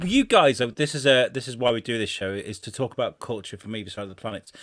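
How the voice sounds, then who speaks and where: A man's medium-pitched voice moves fairly quickly, its pitch varying in an ordinary way. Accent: English Midlands. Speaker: podcast co-host. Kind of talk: casual chat.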